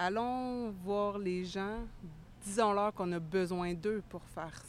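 Her delivery is very slow. The woman's intonation holds fairly even. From Quebec, Estrie. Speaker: community mental health worker. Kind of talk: interview.

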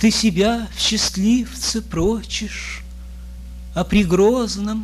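Speech at a very slow pace plays over music in the background. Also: man. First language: Russian. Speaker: poet. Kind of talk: poetry reading in Russian. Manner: nervous.

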